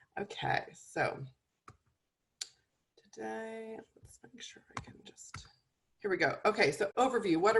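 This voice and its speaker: A woman speaks at a fairly high pitch with lively intonation and vocal fry. Her pace is fairly slow, with long, frequent pauses and big swings in loudness. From Canada. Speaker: nutritionist and medical herbalist. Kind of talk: webinar presentation. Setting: video call webinar.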